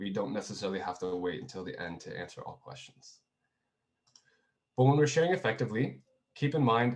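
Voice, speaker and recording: With a Canadian accent, the speaker goes at a fairly quick pace, the pitch swinging very widely. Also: man. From Canada, Kitchener, Ontario. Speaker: video coach presenter. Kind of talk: webinar presentation. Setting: online video session. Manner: casual, conversational.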